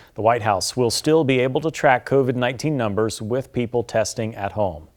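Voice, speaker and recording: A man's normal speaking voice at a medium pitch, fairly quick in pace, with ordinary pitch variation. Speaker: local TV news anchor. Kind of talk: television news anchor delivery.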